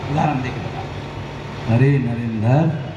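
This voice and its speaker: A man's fairly high voice with lively intonation, audible room echo and noticeable background noise. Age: 60s. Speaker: activist organisation leader. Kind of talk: political rally speech. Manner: repetitive oratory.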